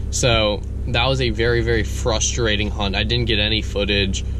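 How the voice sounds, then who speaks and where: There is noticeable noise in the background. Through it, a man talks. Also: dry sound with no echo. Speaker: hunter vlogger. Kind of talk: casual vlog chat. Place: car. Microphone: phone near.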